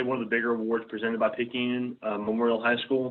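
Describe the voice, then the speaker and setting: Medium-pitched male voice with an American accent. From US South, south Mississippi. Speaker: student, scholarship recipient. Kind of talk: talk to a club.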